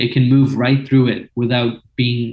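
Monotone and flat, a man at medium pitch talks at a moderate pace. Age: 20s. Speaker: quantum computing researcher and entrepreneur. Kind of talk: interview. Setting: video call.

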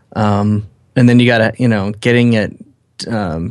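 An American accent marks this man's unremarkable speaking voice, pitched medium, with fairly even intonation at a moderate pace over a quiet background. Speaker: podcast co-host, photographer. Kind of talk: casual chat.

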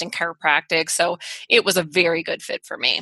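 With a plain, everyday voice and an American accent, a woman speaks at a moderate pace and a fairly low pitch, the sound dry and close with no echo. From US, small town. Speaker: chiropractor and research professor. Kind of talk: interview.

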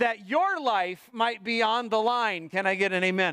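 An animated tone comes through at a fairly slow pace in a very clean recording with a silent background. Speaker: pastor. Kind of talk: sermon to a live congregation, preaching with scripture reading and prayer. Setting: church with congregation. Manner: animated, emphatic and direct, with call-and-response prompts to the congregation; lightly humorous, with moments of levity and intensity.

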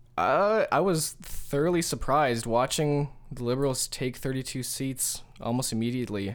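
A man with a Canadian accent speaks in a plain, everyday voice at a medium pitch, hardly pausing, on a very clean recording with a silent background. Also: ordinary pitch variation, moderate pace. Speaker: student politics guest. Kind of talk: casual chat. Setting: studio.

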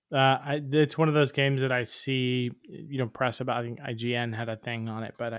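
With an American accent and a normal speaking voice, a man talks at a fairly quick pace with hardly any pauses, his medium pitch held in fairly even intonation. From Tampa, Florida. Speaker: podcast co-host. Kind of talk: casual chat.

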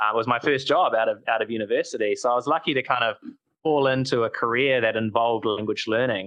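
A fairly quick man's voice at medium pitch. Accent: New Zealand. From New Zealand. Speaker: startup founder. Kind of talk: casual interview chat.

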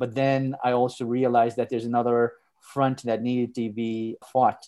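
In a Montreal accent, a man speaks at medium pitch with a dark, mellow tone and monotone, flat intonation. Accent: Canadian English, Montreal. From Canada, Montreal. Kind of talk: interview. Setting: podcast.

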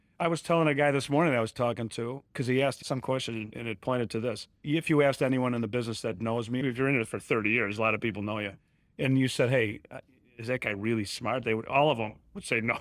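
A man with a Chicago accent at a very fast pace, medium pitch and ordinary pitch variation, in a very clean recording with a silent background. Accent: Chicago American. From Chicago area, Illinois. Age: 60s. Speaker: commercial real estate broker. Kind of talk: interview.

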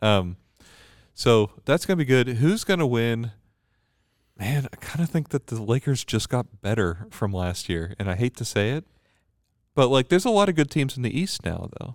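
Medium-pitched male speech with very wide pitch swings, in a very clean recording with a silent background and a dry, close sound with no echo. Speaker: priest. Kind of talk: casual chat. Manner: slow talker.

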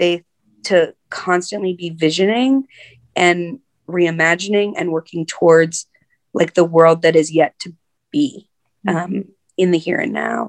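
A woman speaks slowly at a fairly low pitch. Her pitch varies in an ordinary way, broken by long, frequent pauses. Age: 40s. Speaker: nonprofit director. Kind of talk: interview conversation. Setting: video call.

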